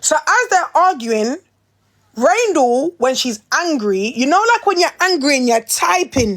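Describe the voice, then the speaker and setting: With a London accent, a woman talks fairly slowly in a high, animated voice that swings very widely in pitch while her loudness stays very even. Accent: London Multicultural English. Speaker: reality TV personality. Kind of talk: casual chat.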